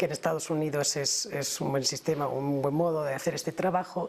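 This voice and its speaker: The speaker is a woman with a Spanish accent. She talks at a moderate pace. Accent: Spanish (Spain). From Spain. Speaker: human rights lawyer. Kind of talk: TV interview.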